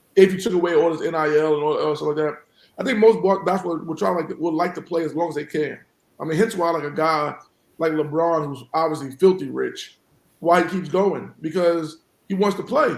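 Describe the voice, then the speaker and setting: A high-pitched man with a New York accent talks fairly quickly with ordinary pitch variation. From New York City (South Jamaica, Queens). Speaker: college basketball head coach. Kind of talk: podcast interview.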